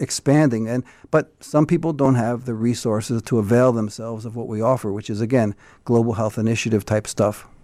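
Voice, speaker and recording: The voice has a dark, mellow tone and a fairly quick pace with ordinary pitch variation. The recording is very clean with a silent background. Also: man. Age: 60s. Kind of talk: interview. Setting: studio.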